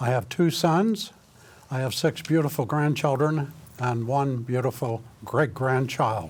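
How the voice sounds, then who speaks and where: In a Midwestern US accent, a man speaks at a medium pitch and fairly slow pace, somewhat breathy, with ordinary pitch variation. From Indiana. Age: 80s+. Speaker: political candidate. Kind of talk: candidate self-introduction.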